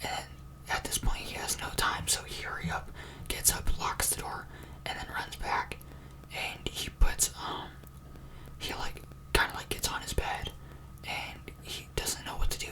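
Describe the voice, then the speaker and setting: Whispering at a fairly slow pace with long, frequent pauses over noticeable background noise. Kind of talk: ASMR scary story told from memory in a casual, chatty way; casual talk to camera, improvised storytelling with filler words.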